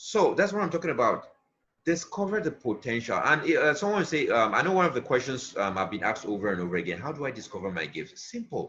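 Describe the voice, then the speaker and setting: A man talks at a fairly quick pace with vocal fry. His tone is bright and sharp. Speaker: motivational speaker. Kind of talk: motivational talk.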